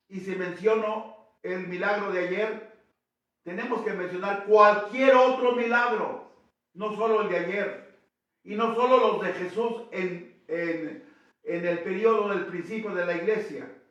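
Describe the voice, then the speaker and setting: A man speaks at a high pitch and a very slow pace. His intonation stays fairly even. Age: 80s+. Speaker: priest. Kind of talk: sermon. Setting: church.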